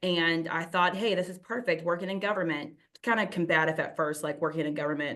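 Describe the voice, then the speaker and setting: A woman at a medium pitch, talking at a very fast pace. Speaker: city community development director. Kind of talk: webinar presentation. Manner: fast when excited.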